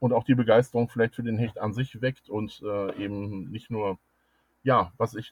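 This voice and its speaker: A man speaks at a medium pitch with fairly even intonation. His voice is somewhat breathy. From Germany, Ruhr area (Dortmund). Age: 50s. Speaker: angling club president and fishing writer. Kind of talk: interview.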